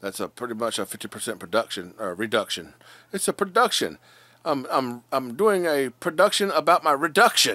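A man with a bright, sharp tone and vocal fry speaks at a moderate pace with very wide pitch swings. The sound is dry with no echo, and the background is quiet. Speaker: vlogger. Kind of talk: casual vlog chat. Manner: slurred, drowsy bedtime talk. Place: home room. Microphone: phone near.

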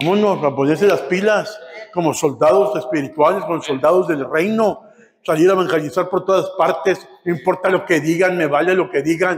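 At a fairly quick pace, a man speaks in a high pitch with very even loudness and ordinary pitch variation. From Matamoros, Mexico; Mexico. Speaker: pastor; preacher. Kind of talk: sermon. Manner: animated. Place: church. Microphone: camera far.

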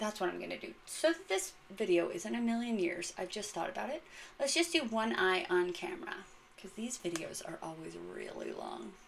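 The speaker has an animated tone and a moderate pace, with big swings in loudness and light background noise. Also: woman. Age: 30s. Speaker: beauty content creator. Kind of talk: casual unboxing and makeup tutorial. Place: bathroom. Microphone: phone near.

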